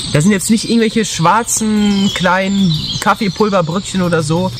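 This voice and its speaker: At a moderate pace, the speech carries on over noticeable background noise. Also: man. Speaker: outdoor food reviewer. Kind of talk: casual vlog chat.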